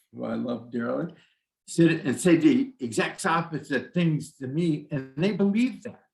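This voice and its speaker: A man's voice with vocal fry at a fairly slow pace. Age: 70s. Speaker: shaman, former psychologist. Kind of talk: casual interview.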